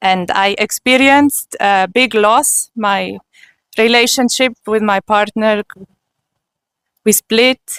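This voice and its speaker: With a German accent, a woman speaks very slowly in a fairly high pitch, leaving long, frequent pauses. Her loudness stays very even and her intonation fairly even, in a dry, close sound with no echo. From Switzerland. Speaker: spiritual seeker giving testimony. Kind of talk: testimony.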